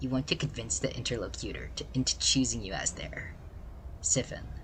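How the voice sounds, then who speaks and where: Using a put-on character voice, a man talks at a fairly quick pace against clear background noise. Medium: game stream.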